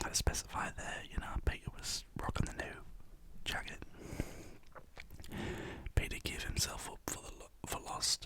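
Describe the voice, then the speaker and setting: A man whispers at a moderate pace against noticeable background noise. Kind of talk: ASMR storybook reading. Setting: studio. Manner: casual, stumbling, not fluent.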